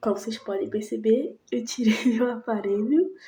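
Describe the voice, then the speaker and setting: Soft-spoken and somewhat breathy, a woman talks at a fairly slow pace in a fairly high pitch with a dark, mellow tone. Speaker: vlogger. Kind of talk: casual vlog chat.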